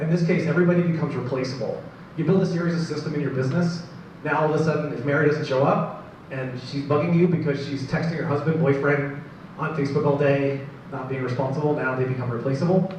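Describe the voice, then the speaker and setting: A fairly high-pitched man at a very fast pace, with fairly even intonation, audible room echo and noticeable background noise. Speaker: marketing advisor and business presenter. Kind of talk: business presentation to live audience.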